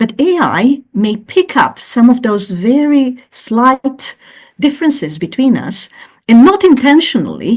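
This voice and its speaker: A somewhat breathy voice with a non-native accent, very wide pitch swings and a fairly slow pace. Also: woman. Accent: non-native English speaker. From Croatia. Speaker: professor. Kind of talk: interview. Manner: hesitant, many fillers.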